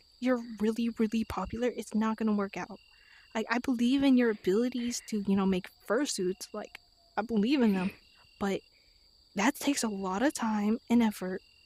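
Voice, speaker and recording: A woman's somewhat breathy, fairly high voice with fairly even intonation at a moderate pace. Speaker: confronting friend. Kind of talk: heated argument.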